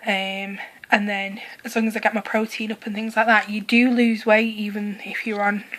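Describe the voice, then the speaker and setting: A woman with a fairly high pitch speaks at a moderate pace. Her intonation is monotone and flat, with noticeable background noise behind her. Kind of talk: casual vlog talk to camera. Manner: hesitant, many filler words.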